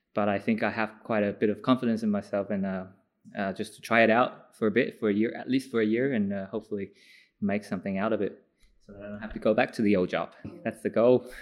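Very fast speech from a man with an Australian accent, fairly low in pitch and fairly even in intonation, against a quiet background. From Sydney, Australia. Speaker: former accountant. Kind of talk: interview.

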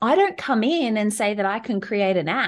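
An Australian-accented woman at medium pitch with lively intonation and a moderate pace, against a quiet background. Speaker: travel advisor and business strategist. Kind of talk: podcast interview.

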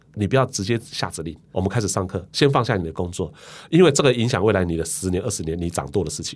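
A man with a fairly low pitch speaks very fast with lively intonation in a very clean recording over a silent background. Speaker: company founder and chairman. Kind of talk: interview.

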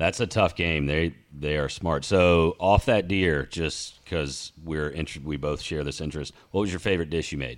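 Music plays in the background as a man speaks in a very deep, low pitch. He keeps a moderate pace with hardly any pauses. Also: ordinary pitch variation. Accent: Southern US. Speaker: podcast host. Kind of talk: casual chat. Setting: studio.

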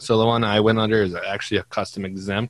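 With a Minnesota accent, a man speaks in a monotone, flat intonation at a fairly low pitch, the sound dry and close with no echo. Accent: Upper Midwest (Minnesota). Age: 20s. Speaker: farmer. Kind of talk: casual chat.

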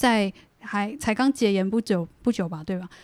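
A woman with ordinary pitch variation is heard on a very clean recording with a silent background and a dry, close sound with no echo. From Taiwan, Taichung area, Bunun family. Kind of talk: casual interview chat.

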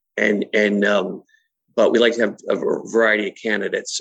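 A man speaks with a slight Massachusetts accent. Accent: Massachusetts New England, slight. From Massachusetts, US. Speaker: chamber of commerce executive. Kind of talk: interview chat.

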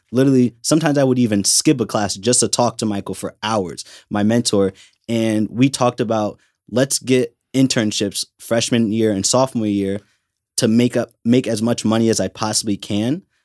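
On a very clean recording with a silent background and a dry, close sound with no echo, a man with an unremarkable speaking voice talks at a moderate pace and medium pitch with fairly even intonation. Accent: American. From Connecticut. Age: 20s. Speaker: intern, college student. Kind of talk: casual interview chat.

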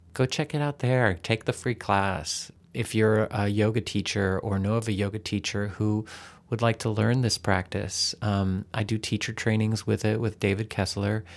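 A man with an American accent talks at a moderate pace in a normal speaking voice, his pitch fairly low and his intonation fairly even. Loudness stays very even, and the recording is very clean with a silent background. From Texas. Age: 50s. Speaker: yoga teacher. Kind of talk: interview.

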